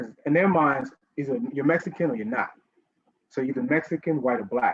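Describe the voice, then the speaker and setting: A man with a New York accent, fairly quick pace, lively intonation and an animated tone. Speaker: writer and educator, panelist. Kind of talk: panel discussion.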